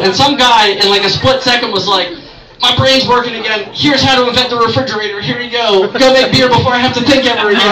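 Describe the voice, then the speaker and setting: In an American accent, a raised, projected voice moves at a fairly quick pace with ordinary pitch variation over noticeable background noise. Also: man. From Maryland, Baltimore area. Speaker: stand-up comedian. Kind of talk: raunchy open-mic stand-up set riffing on holidays, TV and local towns. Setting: bar stage with live audience. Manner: rambling, self-interrupting, with frequent fillers and repeated words; crude, exasperated storytelling with mock-outraged punchlines. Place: bar. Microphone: camera far.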